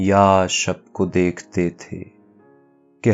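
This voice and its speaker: With music in the background, a man speaks in a very deep, low pitch. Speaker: poetry reciter. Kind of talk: poetry reading. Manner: calm, soulful.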